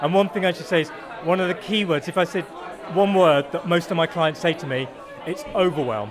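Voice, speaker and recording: Over crowd noise in the background, a man with a British accent talks at a high pitch. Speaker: coach. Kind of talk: interview.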